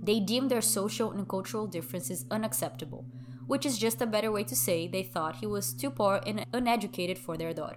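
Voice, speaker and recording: A woman with a fairly low pitch talks at a very fast pace, her pitch swinging very widely. Noticeable background noise runs underneath. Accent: Brazilian. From Brazil, Sao Paulo. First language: Brazilian Portuguese. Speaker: true crime podcast host. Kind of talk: true crime storytelling.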